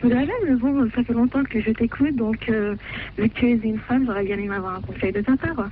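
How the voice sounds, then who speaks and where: A woman's fairly high voice moves at a fairly quick pace with ordinary pitch variation while noticeable background noise carries on. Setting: phone call, radio call-in.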